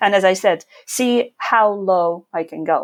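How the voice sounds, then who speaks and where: On a very clean recording with a silent background, a woman talks with a non-native accent and ordinary pitch variation. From Ukraine. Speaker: investor and YouTuber. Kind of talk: podcast interview.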